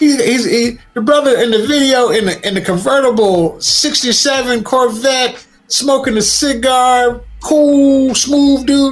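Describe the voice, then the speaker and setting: A very slow-speaking man with an American accent, extremely high in pitch, with ordinary pitch variation, very even loudness, and noticeable background noise. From Newport News, Virginia. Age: 50s. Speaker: media consultant and podcaster. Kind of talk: casual debate.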